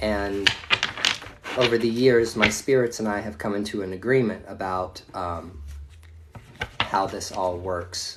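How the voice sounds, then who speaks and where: A man with a fairly low voice speaks fairly slowly and evenly, leaving long, frequent pauses while his loudness swings widely. Room echo and noticeable background noise come through. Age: 40s. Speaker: tarot reader. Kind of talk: live stream reading. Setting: at home. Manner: casual, profane.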